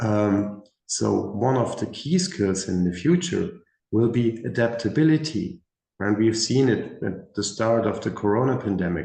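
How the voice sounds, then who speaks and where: A man's somewhat breathy, dark and mellow voice, medium in pitch, with lively intonation at a fairly slow pace. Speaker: career expert panelist. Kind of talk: panel discussion.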